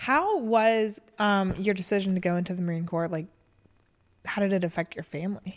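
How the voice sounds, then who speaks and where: Here is a woman with an ordinary speaking voice and medium pitch. She keeps a moderate pace and fairly even intonation. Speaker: podcast co-host. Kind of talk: casual chat.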